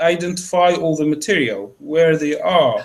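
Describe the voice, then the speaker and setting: With an Arabic accent, a man speaks at a high pitch. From Egypt. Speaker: academic researcher. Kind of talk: Q&A discussion after lecture. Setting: seminar room, live-streamed. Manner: halting, many fillers.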